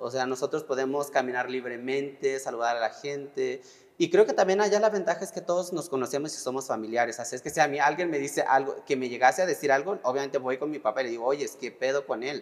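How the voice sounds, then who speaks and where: Fairly high in pitch, a man speaks at a very fast pace with hardly any pauses. His pitch varies in an ordinary way. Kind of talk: testimony.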